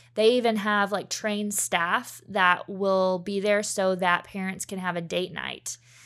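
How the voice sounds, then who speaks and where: A woman speaks in an ordinary speaking voice at medium pitch, fairly slow and with fairly even intonation. The recording is very clean, with a silent background. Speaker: education worker and blog writer. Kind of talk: casual interview chat.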